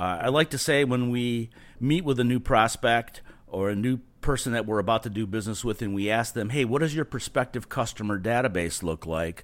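In an ordinary speaking voice, a man at medium pitch talks at a fairly quick pace with ordinary pitch variation. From California. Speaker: marketing company owner. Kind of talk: podcast interview.

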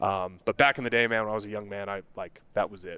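A man with an American accent speaks at a fairly quick pace in a fairly low pitch, with a plain, everyday voice. The recording is very clean and dry, close-miked with no echo and a silent background. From Colorado, US. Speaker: men's health coach. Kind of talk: casual interview. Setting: studio.

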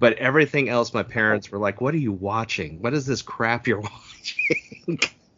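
With an American accent and hardly any pauses, a man talks at a medium pitch with ordinary pitch variation over noticeable background noise. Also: moderate pace. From US West Coast, San Francisco Bay Area. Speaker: podcast host. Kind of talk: casual interview.

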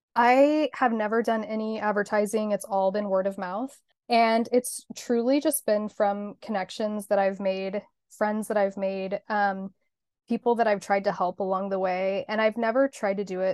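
A woman with a plain, everyday voice speaks at a medium pitch in an American accent, with fairly even intonation at a moderate pace. The sound is dry and close with no echo, over a quiet background. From Kansas (Hutchinson). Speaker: marketing agency owner. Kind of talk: casual interview.

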